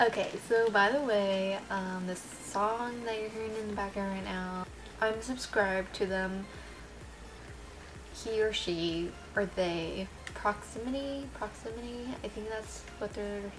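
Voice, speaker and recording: Fairly slow pace and fairly even intonation over music in the background. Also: woman. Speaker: vlogger. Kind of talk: casual vlog chat. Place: kitchen. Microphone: webcam.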